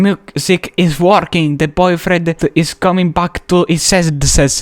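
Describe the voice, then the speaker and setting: A man with an Italian accent and fairly even intonation, in dry, close sound with no echo. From Italy. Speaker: gaming youtuber. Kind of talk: casual video commentary. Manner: halting, hesitant.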